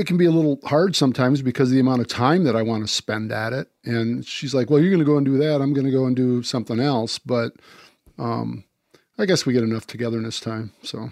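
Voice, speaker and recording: Speaking very fast, a man with an American accent shows ordinary pitch variation. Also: medium pitch for a man. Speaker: deer hunter and disease-control advocate. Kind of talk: casual chat.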